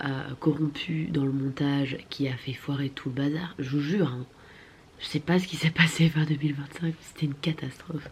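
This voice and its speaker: A woman with a very deep, low pitch and a somewhat breathy voice speaks at a moderate pace with fairly even intonation. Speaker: vlogger. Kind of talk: casual vlog talk.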